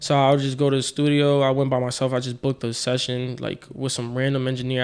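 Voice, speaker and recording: Talking at a very fast pace with hardly any pauses, a man with a New York accent keeps a monotone, flat intonation at medium pitch. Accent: New York City. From New York (South Jamaica, Queens). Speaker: rapper. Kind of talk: casual chat.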